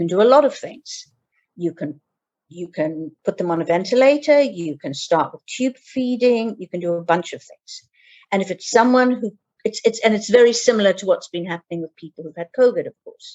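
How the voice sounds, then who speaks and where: A woman with a British accent talks at a fairly quick pace with lively intonation. Her loudness swings widely. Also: medium pitch for a woman. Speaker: geriatric care manager. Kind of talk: interview. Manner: halting.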